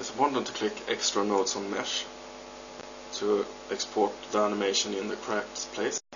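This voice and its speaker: With a non-native accent, a man talks at a moderate pace, leaving long, frequent pauses over noticeable background noise. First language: not English. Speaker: 3D modder. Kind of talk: software tutorial narration. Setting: home recording, poor audio.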